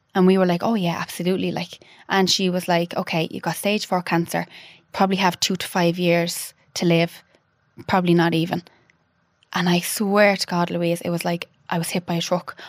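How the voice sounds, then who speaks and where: A woman speaks in an Irish accent with a fairly low pitch. Her intonation is monotone and flat, and her pace is moderate. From Ireland (Dublin, then Offaly). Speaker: widow and clothing brand founder. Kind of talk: casual chat interview.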